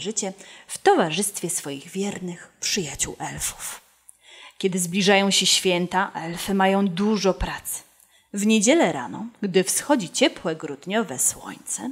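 Against a quiet background, a woman speaks at a fairly slow pace with lively intonation and big swings in loudness. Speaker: storyteller. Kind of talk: storytelling read-aloud. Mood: warm, expressive, animated. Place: studio. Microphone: studio mic.

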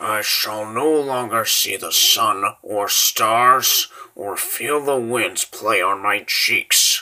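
A man uses a put-on character voice at a very slow pace. He hardly pauses at all. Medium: dub. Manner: grave, mournful.

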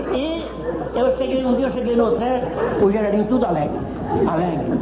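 Very fast pace over loud background noise. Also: man. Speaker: comedian and storyteller. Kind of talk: comic storytelling. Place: studio.

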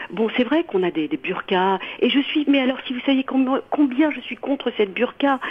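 A high-pitched woman with lively intonation at a moderate pace, with noticeable background noise. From France. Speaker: radio caller. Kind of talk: call-in opinion. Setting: phone call. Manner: halting.

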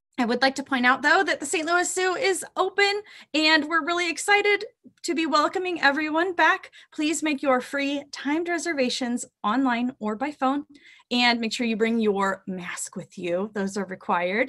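A woman speaks in a raised, projected voice with a bright, sharp tone and very wide pitch swings. Her pace is moderate and the background quiet. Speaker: zoo educator. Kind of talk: webinar presentation to students. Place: home room. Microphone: webcam.

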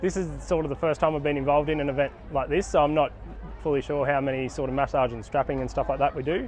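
Talking at a very fast pace, a man is heard in a dry sound with no echo and light background noise. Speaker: sports trainer at an event. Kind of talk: interview answer. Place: open country. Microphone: phone near.

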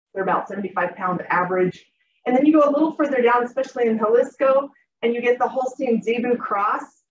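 A woman's high voice comes at a fairly quick pace with ordinary pitch variation, light background noise and audible room echo. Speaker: academic conference presenter. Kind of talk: academic presentation, casual phrasing. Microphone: video call.

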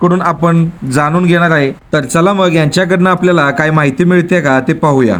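A man with a high-pitched voice speaks with fairly even intonation. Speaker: vlogger. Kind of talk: casual talk to camera.

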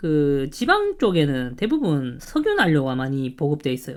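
Moderately paced male speech with lively intonation. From Gyeongsang, South Korea. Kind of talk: casual talk to camera.

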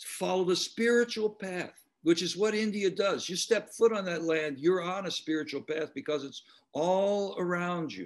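A man speaks with a high pitch at a fairly slow pace. His pitch varies an ordinary amount over a quiet background. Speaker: panelist. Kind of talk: interview answer. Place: home room. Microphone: webcam.

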